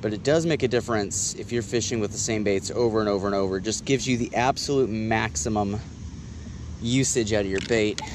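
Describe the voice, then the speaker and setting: A man's very fast, fairly low-pitched speech, dry with no echo, over noticeable background noise. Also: ordinary pitch variation. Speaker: fishing vlogger. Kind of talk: casual vlog chat. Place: waterside. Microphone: phone near.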